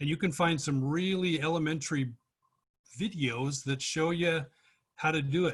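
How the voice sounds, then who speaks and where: A man's somewhat breathy, fairly high-pitched voice with ordinary pitch variation. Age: 60s. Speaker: workshop participant. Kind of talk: casual chat.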